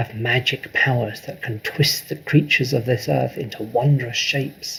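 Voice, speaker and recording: A man's guttural, whispering put-on character voice at a moderate pace. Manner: whispering, ominous.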